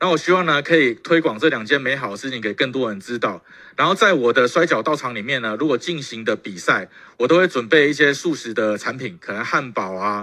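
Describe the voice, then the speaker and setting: At a fairly quick pace, a man speaks with lively intonation and a bright, sharp tone. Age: 30s. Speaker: professional wrestler. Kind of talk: testimony. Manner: halting, many fillers.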